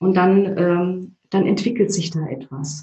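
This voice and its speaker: Her pitch sits in the medium range for a woman, and the woman's voice shows ordinary pitch variation. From East Germany. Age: 40s. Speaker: change consultant and trainer. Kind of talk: interview. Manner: hesitant, many filler sounds.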